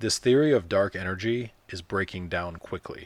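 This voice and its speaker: His pitch fairly low, a man speaks with lively intonation. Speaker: science enthusiast podcaster. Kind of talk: casual chat. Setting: in a car. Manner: fast.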